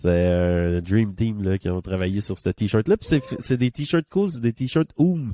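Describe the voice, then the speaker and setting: A man speaks at a very slow pace with a Quebec accent, his pitch fairly low and his intonation lively. The tone is dark and mellow, with hardly any pauses, in a dry, close sound with no echo. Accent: Québécois French. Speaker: podcast co-host. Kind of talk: casual chat. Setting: studio.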